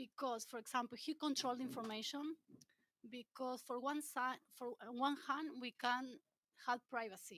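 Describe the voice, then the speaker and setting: A woman with a Spanish accent, high-pitched and bright and sharp in tone, at a moderate pace. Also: dry, close sound with no echo. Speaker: audience member. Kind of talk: audience question. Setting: stage with audience. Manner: halting.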